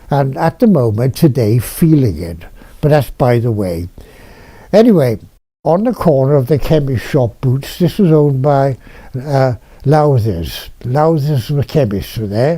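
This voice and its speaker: In a Welsh accent, the speaker talks at a fairly slow pace with lively intonation and a dark, mellow, somewhat breathy tone. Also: man, fairly high pitch for a man. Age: 90s. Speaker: retired dentist recalling local history. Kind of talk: oral history reminiscence. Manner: halting with fillers.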